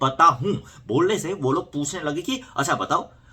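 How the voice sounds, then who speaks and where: The voice has a Korean accent and a bright, sharp tone. Its intonation is lively. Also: man. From South Korea. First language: Korean (speaking Hindi). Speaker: YouTuber. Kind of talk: casual vlog storytelling.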